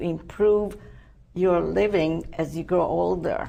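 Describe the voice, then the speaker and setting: With audible room echo around her, a woman with a non-native accent speaks at a fairly slow pace. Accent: foreign. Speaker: TV talk show host. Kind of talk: TV interview.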